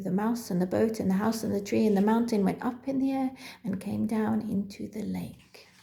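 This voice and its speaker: A woman talks at a moderate pace and a medium pitch. Her voice is somewhat breathy, with a dark, mellow tone. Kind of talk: children's story reading.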